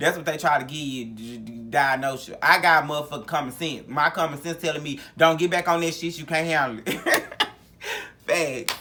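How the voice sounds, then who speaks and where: A man's voice with a bright, sharp tone. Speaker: vlogger. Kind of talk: casual monologue.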